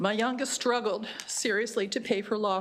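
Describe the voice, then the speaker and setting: Over noticeable background noise, a woman talks at a moderate pace in a fairly high voice with fairly even intonation. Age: 70s. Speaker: Gold Star widow testifying. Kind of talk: testimony. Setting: legislative committee hearing.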